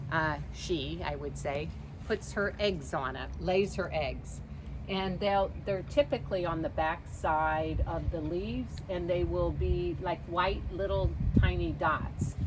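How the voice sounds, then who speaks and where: Audible room echo around a woman's very slow speech. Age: 60s. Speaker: life coach. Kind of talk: casual video talk. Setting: outdoors. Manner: casual, with many fillers.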